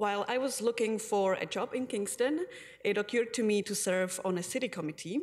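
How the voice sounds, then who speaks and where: Someone with a Czech accent speaks at a moderate pace, with ordinary pitch variation. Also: woman. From Czech Republic. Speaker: community advocate; public delegate to city council. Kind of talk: council delegation speech. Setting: city council chamber. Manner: formal. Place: hall. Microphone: podium.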